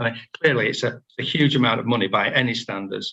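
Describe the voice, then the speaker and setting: In a Yorkshire accent, the speaker talks very fast with a bright, sharp tone and lively intonation. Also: man. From northern England. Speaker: member of the public speaking at a planning meeting. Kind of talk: prepared statement. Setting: video call.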